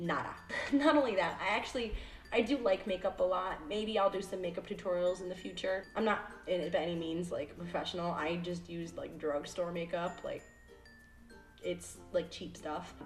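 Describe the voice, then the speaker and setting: A woman in an American accent talks at a moderate pace, with a medium pitch and lively intonation, over noticeable background noise. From upstate New York, US. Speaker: YouTuber. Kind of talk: casual Q&A vlog. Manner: animated.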